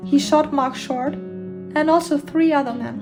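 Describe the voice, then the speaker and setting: A woman with a German accent talks at a moderate pace, with music in the background. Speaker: true crime narrator. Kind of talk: true crime narration.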